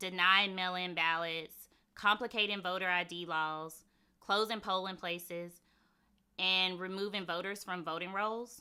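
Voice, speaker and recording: Bright, sharp, medium-pitched female voice with a Mississippi accent, monotone, flat intonation and a fairly slow pace. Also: very clean recording, silent background. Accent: Mississippi Southern. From Mississippi, US South. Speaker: conference speaker, former government security official. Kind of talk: conference talk. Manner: clear, explanatory.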